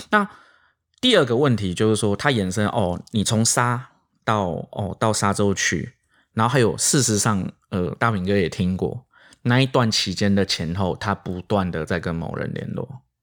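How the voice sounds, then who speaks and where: This man has an ordinary speaking voice, fairly low in pitch, with ordinary pitch variation at a moderate pace. The recording is very clean, with a silent background. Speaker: senior crime journalist. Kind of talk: casual podcast chat.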